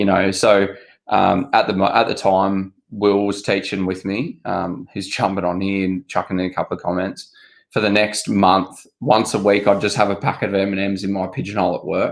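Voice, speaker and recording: On a very clean recording with a silent background, a man speaks at a moderate pace in a fairly low voice with fairly even intonation. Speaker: obstacle race athlete. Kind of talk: casual chat.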